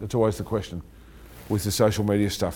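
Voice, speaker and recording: Dark and mellow in tone, a man's voice comes through with an Australian accent. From Australia, country Victoria (Bendigo). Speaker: gym owner and bodybuilding promoter. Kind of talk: interview.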